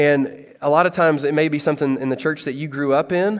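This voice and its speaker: A man with a Kentucky accent, fairly high pitch and fairly even intonation. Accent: Kentucky Southern American. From US South. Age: 30s. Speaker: pastor. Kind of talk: sermon.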